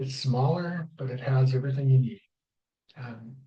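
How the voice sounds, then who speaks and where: Somewhat breathy and dark, mellow in tone, a man of medium pitch speaks at a fairly slow pace. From Canada. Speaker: travel vlogger. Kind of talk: casual vlog commentary reading from notes. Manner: mumbling.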